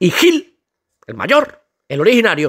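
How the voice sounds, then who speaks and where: An animated tone from a man, on a very clean recording with a silent background. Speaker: football youtuber. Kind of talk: comedic rant.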